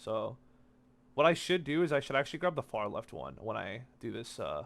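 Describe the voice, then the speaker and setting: The background is silent on this very clean recording of a man talking. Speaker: gaming video creator. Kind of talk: gameplay commentary. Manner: fast; casual.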